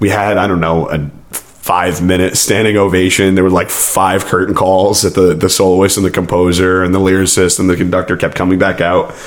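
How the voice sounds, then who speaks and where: A man speaks in a very deep, low voice with a monotone, flat delivery and very even loudness. He hardly pauses, and noticeable background noise runs underneath. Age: 20s. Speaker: amateur choral singer. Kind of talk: casual podcast conversation.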